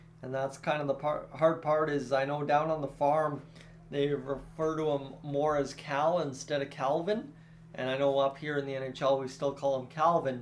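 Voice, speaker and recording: With a strong rural Canadian accent, a man talks at a moderate pace in a fairly high pitch, his intonation monotone and flat. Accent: thick rural Canadian. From Canada. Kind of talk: casual, chatty.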